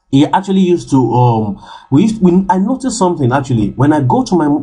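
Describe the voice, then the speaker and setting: A man's dark, mellow, somewhat breathy voice with lively intonation. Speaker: health vlogger. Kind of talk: monologue to camera. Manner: passionate; halting.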